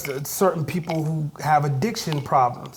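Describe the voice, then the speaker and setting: An American-accented man with a fairly high pitch speaks in an animated tone at a fairly slow pace. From Ohio, Youngstown Southside. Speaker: hip hop artist. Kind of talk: interview. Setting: recording studio. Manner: loud.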